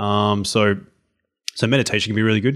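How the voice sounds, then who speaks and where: In a very clean recording with a silent background, a man with a plain, everyday voice and fairly low pitch talks at a fairly quick pace. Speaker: health and exercise coach. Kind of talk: casual interview chat.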